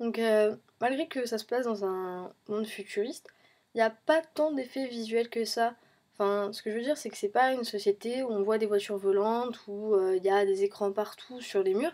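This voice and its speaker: A woman with a fairly high pitch speaks at a moderate pace in a dark, mellow tone, with ordinary pitch variation, on a very clean recording with a silent background. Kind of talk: film review talk to camera. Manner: hesitant, many fillers.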